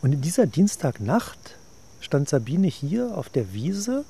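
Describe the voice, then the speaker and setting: A dark, mellow, somewhat breathy tone at a very slow pace, with very wide pitch swings. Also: man. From West Berlin. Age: 50s. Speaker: management consultant, eyewitness in radio drama. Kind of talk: documentary narration. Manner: passionate, gripping storytelling.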